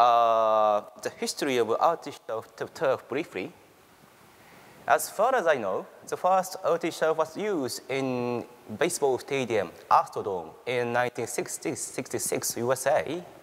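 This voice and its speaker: Fairly high-pitched and speaking with a Japanese accent, a man talks at a fairly slow pace with very wide pitch swings. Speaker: university researcher. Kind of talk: conference presentation. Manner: halting.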